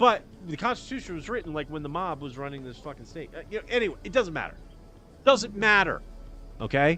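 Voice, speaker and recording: With music in the background, a man with a high pitch talks at a very fast pace, making very wide pitch swings and big swings in loudness. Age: 50s. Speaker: podcast host. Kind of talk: casual livestream monologue. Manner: rambling, halting with many restarts.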